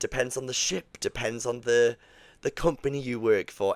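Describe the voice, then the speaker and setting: With a strong Geordie accent, a man talks at a fairly slow pace and medium pitch in a very clean recording with a silent background and a dry, close sound with no echo. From northern England, Newcastle. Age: 30s. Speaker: podcast host, cruise ship performer. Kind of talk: solo podcast monologue. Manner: casual, many fillers.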